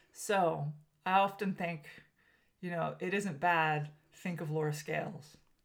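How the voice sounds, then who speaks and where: A woman with a fairly low pitch speaks at a fairly slow pace with fairly even intonation, leaving long, frequent pauses. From Southern California (Armenian American). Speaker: podcast host. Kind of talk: casual chat.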